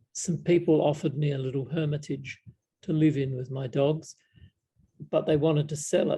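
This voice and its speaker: This voice is somewhat breathy and dark, with a mellow tone and an Australian accent. It moves at a moderate pace with fairly even intonation. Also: man. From South Australia, Adelaide. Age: 70s. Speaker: Buddhist monk. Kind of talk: casual Q&A chat. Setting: video call. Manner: halting, many fillers.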